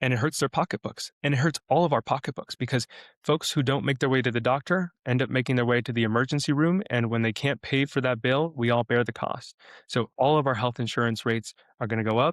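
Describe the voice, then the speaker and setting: A man talking at a very fast pace with very even loudness. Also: medium pitch for a man, ordinary pitch variation, dry, close sound with no echo. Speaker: state legislator running for Congress. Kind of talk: interview. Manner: animated; many fillers (uh, um).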